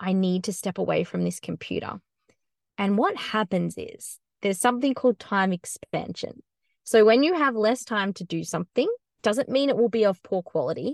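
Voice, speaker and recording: With an Australian accent, a woman speaks at a medium pitch and moderate pace with lively intonation, the sound dry and close with no echo against a quiet background. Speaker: content marketing business founder. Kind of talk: casual interview.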